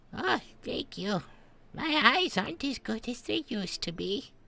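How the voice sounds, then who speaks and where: A woman uses a put-on character voice. Her pitch swings very widely. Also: fairly high pitch for a woman, moderate pace. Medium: actual play. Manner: kindly, hesitant.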